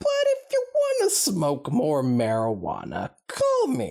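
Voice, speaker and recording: A put-on character voice at a fairly slow pace. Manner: hesitant, stoner.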